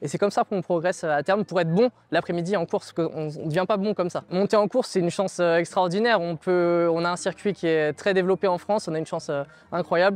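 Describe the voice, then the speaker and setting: A man's very fast delivery at a high pitch, fairly even in intonation, with a dry sound and no echo. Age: 20s. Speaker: journalist and amateur jockey; journalist. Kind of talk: testimony. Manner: hesitant with repetitions. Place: open country. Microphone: lapel.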